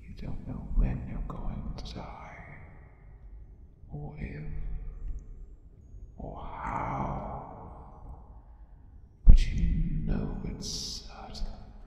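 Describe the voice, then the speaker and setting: A man puts on a raspy character voice with very deep, low pitch, speaking at a very slow pace with long, frequent pauses. Strong echo and clear background noise fill the recording. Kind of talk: ASMR role play. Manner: menacing, taunting; slow, soft-spoken.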